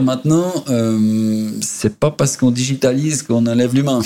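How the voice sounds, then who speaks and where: The man has an unremarkable speaking voice and a medium pitch. He talks fairly slowly, with ordinary pitch variation. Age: 50s. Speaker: real estate company CEO. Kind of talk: interview.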